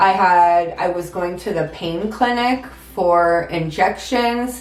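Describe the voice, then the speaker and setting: A woman speaks at a medium pitch with ordinary pitch variation. Audible echo fills the room. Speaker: vlogger. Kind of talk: story time vlog. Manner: hesitant with many ums.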